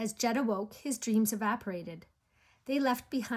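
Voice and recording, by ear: Someone reading aloud in a natural voice, pitch varying in an ordinary way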